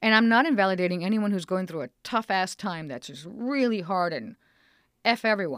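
A woman with an American accent and an unremarkable speaking voice talks at a moderate pace, her intonation lively and her loudness swinging widely. The recording is very clean, with a silent background. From Mexican heritage, US. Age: 50s. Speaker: stand-up comedian. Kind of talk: interview.

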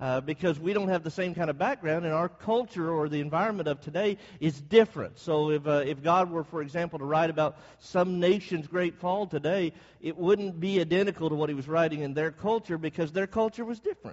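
Pitched high, a man's voice shifts up and down in an ordinary way. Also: fairly quick pace. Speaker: bible class teacher. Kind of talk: bible class lecture. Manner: fast.

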